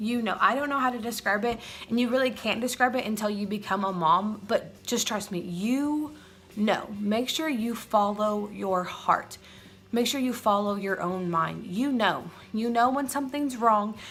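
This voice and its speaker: A woman's fairly high voice at a moderate pace with ordinary pitch variation, amid noticeable background noise and audible room echo. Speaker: mom vlogger. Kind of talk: casual vlog talk to camera. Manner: rambling, hesitant.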